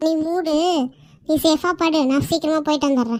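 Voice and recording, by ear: A woman's cartoonish character voice, high-pitched, at a moderate pace with fairly even intonation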